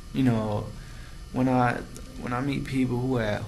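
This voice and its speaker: A man with an American accent at a fairly slow pace, fairly even intonation, and audible room echo. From US Midwest, Cincinnati, Ohio. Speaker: vlogger, theater student. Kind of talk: casual vlog monologue. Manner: slow, deliberate enunciation; halting, many fillers.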